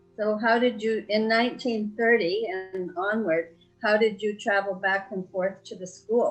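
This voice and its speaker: Fairly high-pitched woman's voice, fairly slow and fairly even in intonation, with music in the background. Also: hardly any pauses. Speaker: family interviewer. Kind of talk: interview questions.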